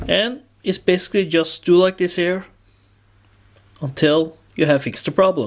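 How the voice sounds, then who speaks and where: With a non-native accent, a man speaks at a high pitch and a moderate pace, showing ordinary pitch variation. He leaves long, frequent pauses. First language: non-native English speaker. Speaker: revolver hobbyist. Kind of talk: tutorial talk to camera.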